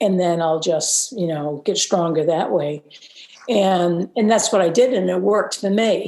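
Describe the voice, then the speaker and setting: A woman's medium-pitched, dark, mellow voice at a fairly slow pace, with ordinary pitch variation. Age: 70s. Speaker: marathon swimmer. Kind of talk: interview answer.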